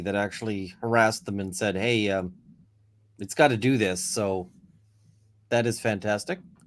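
A man speaks at a moderate pace and a medium pitch. The recording is very clean, with a silent background. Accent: Canadian. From Canada. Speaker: lawyer and YouTuber. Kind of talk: casual chat. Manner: halting, many fillers.

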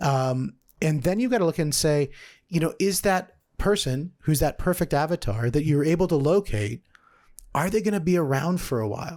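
Pitched fairly high, a man speaks at a moderate pace with lively intonation. The recording is very clean, with a silent background. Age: 40s. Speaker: podcast host and sales consultant. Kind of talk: solo business podcast monologue.

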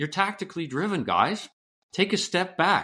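A man's high-pitched, energetic voice with a Canadian accent at a moderate pace, on a very clean recording with a silent background. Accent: Canadian lilt. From western Canada, British Columbia. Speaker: author and former business executive. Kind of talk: interview.

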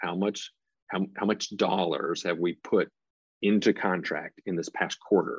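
A man with a Tennessee accent speaks at a moderate pace in a very deep, low pitch, his intonation fairly even and the sound dry and close with no echo against a quiet background. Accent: Southern US (Tennessee). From US South, Nashville, Tennessee. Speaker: construction company president. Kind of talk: interview.

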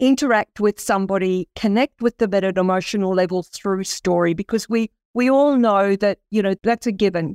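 A woman speaks with an Australian accent. The recording is very clean with a silent background and a dry, close sound with no echo. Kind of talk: interview conversation.

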